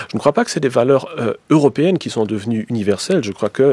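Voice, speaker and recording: Speaking in a dark, mellow tone, a man talks with a German accent. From German-speaking Belgium. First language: German (speaking French). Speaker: historian, professor. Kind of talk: radio debate. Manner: halting, many hesitations.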